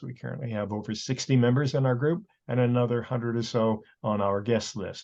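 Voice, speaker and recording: A man's unremarkable speaking voice at medium pitch, fairly quick and fairly even in intonation, over a quiet background. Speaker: group coordinator and host. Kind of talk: meeting introduction.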